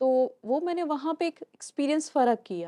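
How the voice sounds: A woman with a high pitch and a dark, mellow tone speaks at a moderate pace with big pitch swings. The recording is very clean with a silent background, dry and close with no echo.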